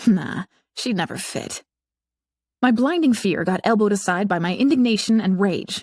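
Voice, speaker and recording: A woman talks with ordinary pitch variation. The sound is dry and close with no echo, and the recording is very clean with a silent background. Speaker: audiobook narrator. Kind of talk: audiobook narration. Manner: wry, sarcastic.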